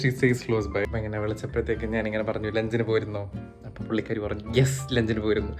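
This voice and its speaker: Music in the background beneath ordinary pitch variation. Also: man, fairly low pitch for a man. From Kerala, India. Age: 20s. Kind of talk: casual vlog talk to camera.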